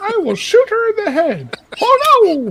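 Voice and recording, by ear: A cartoonish character voice pitched extremely high. It moves at a fairly slow pace.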